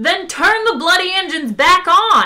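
Loud and extremely high-pitched, a woman uses a put-on character voice with big pitch swings and a bright, sharp tone.

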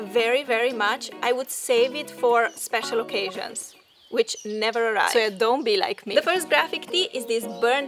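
With clear music in the background, a woman of high pitch speaks at a moderate pace. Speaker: lifestyle vlogger. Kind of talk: casual vlog chat. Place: garden. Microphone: camera far.

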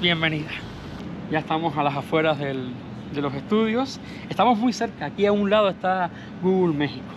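The speech moves at a fairly quick pace with lively intonation and long, frequent pauses. Noticeable background noise is present. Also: man, high pitch for a man. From Cuba. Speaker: YouTuber. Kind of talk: vlog narration. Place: street. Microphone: phone near.

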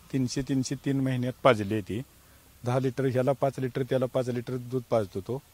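A man speaks at medium pitch with fairly even intonation in a plain, everyday voice. The sound is dry, with no echo. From Maharashtra, Sangli district (Tasgaon); Maharashtra. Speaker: farmer. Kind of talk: interview testimony. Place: farm.

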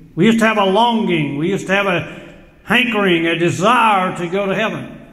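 A man with ordinary pitch variation, heard with audible room echo against a quiet background. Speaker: preacher. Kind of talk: sermon. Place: home room. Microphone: webcam.

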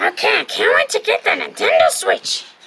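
A put-on character voice, raspy and extremely high-pitched, at a moderate pace. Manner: excited.

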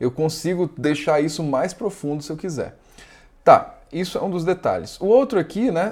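The man's tone is dark and mellow, and he speaks at a moderate pace. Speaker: video editing tutorial youtuber. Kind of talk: tutorial.

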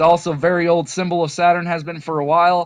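A man's high-pitched voice at a fairly quick pace. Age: 30s. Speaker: conspiracy video creator. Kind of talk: video monologue. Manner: rambling run-on delivery with fillers.

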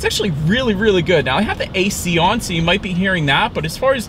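A man speaking at a very fast pace with ordinary pitch variation, dry with no echo, against noticeable background noise. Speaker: car reviewer. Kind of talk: car review commentary. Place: car. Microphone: camera far.

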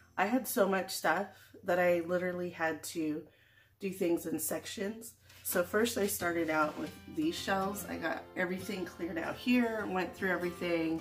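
A woman's fairly low-pitched voice at a moderate pace, with clear music in the background. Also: ordinary pitch variation. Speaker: home organizing vlogger. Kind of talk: casual vlog chat.

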